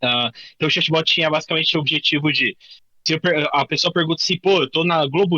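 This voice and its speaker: Bright and sharp in tone, a man speaks with fairly even intonation, the sound dry and close with no echo. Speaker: workshop instructor, tech professional. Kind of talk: workshop tutorial. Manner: fast; casual, filler-heavy.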